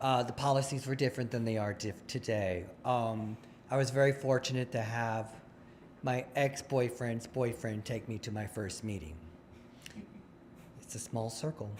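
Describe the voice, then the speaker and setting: The speaker, somewhat breathy, keeps a moderate pace and fairly even intonation with long, frequent pauses. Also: man, medium pitch for a man. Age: 60s. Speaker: recovering alcoholic sharing at a recovery meeting. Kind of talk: testimony. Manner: conversational, with false starts and fillers.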